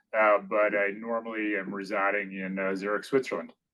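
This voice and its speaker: A man with a New England accent, talking at a fairly slow pace. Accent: New England American. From Maine, US Northeast. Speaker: business executive. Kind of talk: podcast interview. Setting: company headquarters office.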